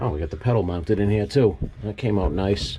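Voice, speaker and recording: A man with a New England accent is heard over noticeable background noise. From New England, US. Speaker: DIY car builder vlogger. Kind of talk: casual vlog narration. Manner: casual, thinking aloud.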